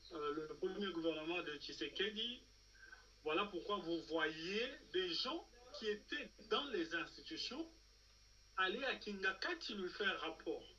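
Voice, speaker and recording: In a raised, projected voice, a man speaks at a very slow pace with a high pitch and ordinary pitch variation over light background noise. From Democratic Republic of the Congo. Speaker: political commentator. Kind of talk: political talk show discussion. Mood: serious, argumentative. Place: home room. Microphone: video call.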